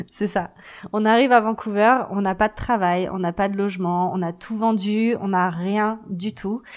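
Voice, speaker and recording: A woman's fairly slow delivery with fairly even intonation. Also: medium pitch for a woman. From Paris, France. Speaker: marketing agency founder. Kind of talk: interview testimony. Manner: hesitant with many fillers.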